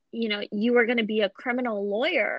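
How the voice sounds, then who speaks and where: A woman has an unremarkable speaking voice with an American accent. Her pitch is fairly high, and her intonation is fairly even. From Pakistan, moved to US at 8. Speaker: podcast host. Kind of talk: casual interview.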